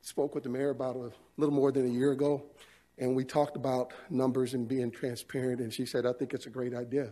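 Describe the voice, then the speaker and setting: A dark, mellow tone with monotone, flat intonation at a fairly quick pace. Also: man. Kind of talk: formal presentation. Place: hall. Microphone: podium.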